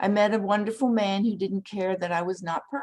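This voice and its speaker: A woman's unremarkable speaking voice at a fairly quick pace, with ordinary pitch variation. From Canada. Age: 60s. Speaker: retired teacher. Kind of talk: prepared talk.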